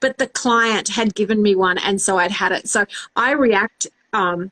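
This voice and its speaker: The tone is bright and sharp, the pace moderate, the intonation fairly even and the loudness very even. The sound is dry and close, with no echo. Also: woman, medium pitch for a woman. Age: 40s. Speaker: radio host and live-stream interviewer. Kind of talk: casual interview chat. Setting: live stream. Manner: intense.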